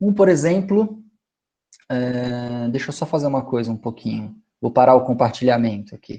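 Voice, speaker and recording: Lively intonation marks a normal speaking voice that keeps a moderate pace. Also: man, medium pitch for a man. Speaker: lecturer on stingless beekeeping. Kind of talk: online lecture. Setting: video call from home.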